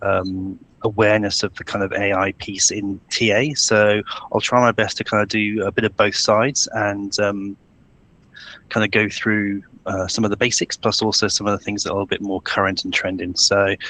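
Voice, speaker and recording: The voice has a bright, sharp tone delivered in a flat monotone. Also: man. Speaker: recruitment industry executive. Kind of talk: webinar presentation. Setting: video call. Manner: fast; hesitant, many fillers.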